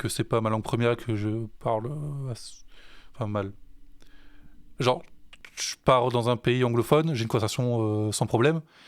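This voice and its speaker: A man at a medium pitch and moderate pace, with fairly even intonation, long, frequent pauses, and a very clean recording with a silent background. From France. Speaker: musician. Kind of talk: casual chat. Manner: halting.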